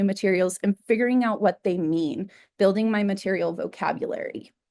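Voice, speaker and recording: A woman with an American accent, an ordinary speaking voice, medium pitch, ordinary pitch variation and moderate pace, over a quiet background. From New Mexico, US. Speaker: artist. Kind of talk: artist talk.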